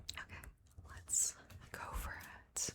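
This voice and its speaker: A woman whispers very slowly, with noticeable background noise audible behind her. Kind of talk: ASMR card game gameplay commentary. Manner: whispered, soft-spoken.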